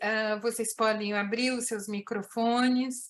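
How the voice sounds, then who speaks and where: At a very slow pace, a woman speaks with fairly even intonation and a fairly high pitch. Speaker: event moderator and interpreter. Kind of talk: consecutive interpreting and moderating an online meeting.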